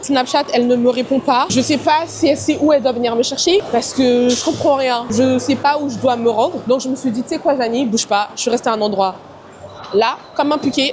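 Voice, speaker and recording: Loud speech at a moderate pace carries ordinary pitch variation against noticeable background noise. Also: woman. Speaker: travel and lifestyle vlogger. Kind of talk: casual vlog talk to camera. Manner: animated.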